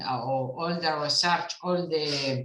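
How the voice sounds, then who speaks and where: Speaking at a very slow pace with fairly even intonation, a woman is heard with audible room echo. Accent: Uruguayan. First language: Spanish. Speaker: international cooperation official. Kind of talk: conference talk. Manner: halting; calm and moderate.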